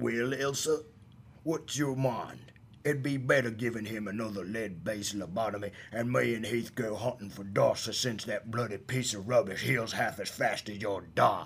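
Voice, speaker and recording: Over clear background noise, a man of medium pitch does a put-on character voice at a moderate pace. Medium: audio drama. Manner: cheeky, slangy, mocking.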